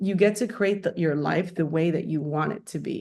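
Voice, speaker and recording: In a normal speaking voice, a woman talks with a fairly low pitch and ordinary pitch variation. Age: 40s. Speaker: company founder and CEO. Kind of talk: interview.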